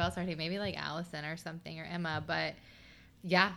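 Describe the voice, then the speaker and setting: A woman with an American accent and a bright, sharp tone speaks fairly quickly at a fairly low pitch with fairly even intonation, on a very clean recording with a silent background. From Southern Ohio. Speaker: hairstylist and makeup artist. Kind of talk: casual chat.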